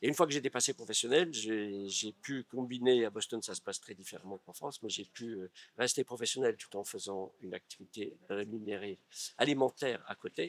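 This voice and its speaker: A man speaks fairly quickly at medium pitch with ordinary pitch variation. His loudness swings widely, and the sound is dry and close with no echo. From California, US. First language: English (speaking French). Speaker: actor and stage director. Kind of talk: interview. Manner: halting.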